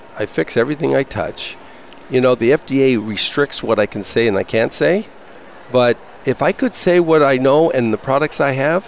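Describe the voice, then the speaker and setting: Here a man uses a normal speaking voice at a medium pitch. His intonation is lively. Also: moderate pace. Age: 60s. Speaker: health products vendor. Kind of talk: interview. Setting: expo hall booth broadcast.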